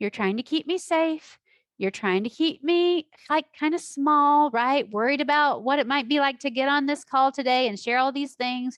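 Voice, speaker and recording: Against a quiet background, a woman speaks loudly at a high pitch. Her pace is moderate, and her pitch varies in an ordinary way. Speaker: life coach. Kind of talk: online class. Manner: animated.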